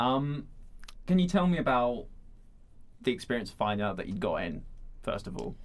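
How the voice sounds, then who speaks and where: A man talks at a fairly quick pace with very wide pitch swings. His voice carries vocal fry. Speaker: podcast host. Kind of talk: interview, casual conversation. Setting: radio studio.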